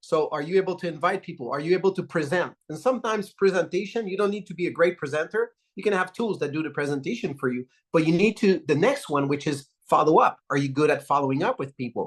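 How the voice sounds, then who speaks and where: A man at a high pitch, very fast in pace, with lively intonation. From Quebec, Canada. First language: French. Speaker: network marketing leader. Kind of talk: motivational talk.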